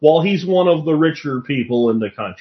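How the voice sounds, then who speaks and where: A man speaks in an American accent. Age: 50s. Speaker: podcast host on self-reliance and homesteading. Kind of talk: solo podcast monologue answering listener questions. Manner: animated.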